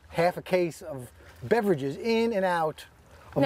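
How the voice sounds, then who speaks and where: A high-pitched man with a New York accent speaks with lively intonation. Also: dry sound with no echo. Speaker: fishing vlogger. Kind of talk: casual vlog chat. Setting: outdoors, on a boat. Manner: fast talker, mumbles, words run together. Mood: relaxed, joking. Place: boat. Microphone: lapel.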